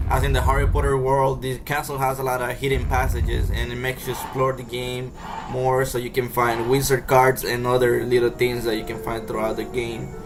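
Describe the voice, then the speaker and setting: Amid noticeable background noise and audible room echo, a man speaks fairly quickly at a medium pitch in a flat monotone, with hardly any pauses. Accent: Spanish. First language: Spanish. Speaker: video game reviewer. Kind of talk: casual game review voiceover. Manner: halting, many fillers.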